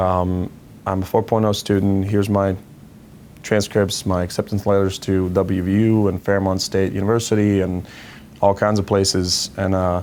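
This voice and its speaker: This man speaks at a moderate pace with a Croatian accent. His pitch is fairly low, his intonation is flat and monotone, and his loudness stays very even. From Croatia, Zagreb. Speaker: financial education founder. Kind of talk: personal story interview.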